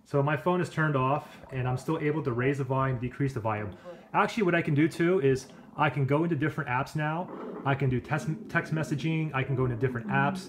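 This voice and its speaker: Talking at a very fast pace, a man keeps his loudness very even and his pitch variation ordinary, with noticeable background noise behind him. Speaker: tech reviewer. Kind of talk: tutorial. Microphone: phone near.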